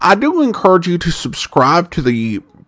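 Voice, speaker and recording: A man's high voice at a fairly slow pace, with very wide pitch swings and noticeable background noise. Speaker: podcast host. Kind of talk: casual podcast intro and episode commentary.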